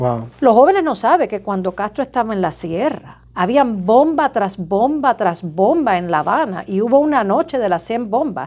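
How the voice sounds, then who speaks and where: Hardly any pauses and very wide pitch swings. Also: woman, fairly high pitch for a woman, moderate pace. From Cuba. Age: 50s. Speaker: surgeon; interview guest. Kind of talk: interview. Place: office.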